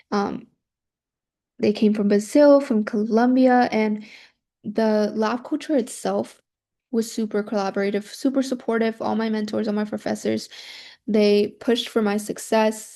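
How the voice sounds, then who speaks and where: The speaker has a Spanish accent and fairly even intonation. Long, frequent pauses fill the speech against a quiet background. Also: woman, moderate pace. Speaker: university student presenting study abroad. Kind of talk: student presentation. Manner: hesitant, many fillers.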